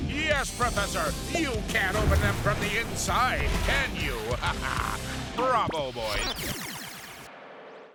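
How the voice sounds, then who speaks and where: The speech moves at a very slow pace while music plays in the background. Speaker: voice actor. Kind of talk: TV promo narration. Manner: playful, comedic.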